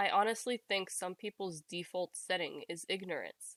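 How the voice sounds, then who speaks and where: Soft-spoken, a woman talks with a bright, sharp tone and fairly even intonation in a dry, close sound with no echo. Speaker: reddit post reader. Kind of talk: casual reading aloud of posts with commentary.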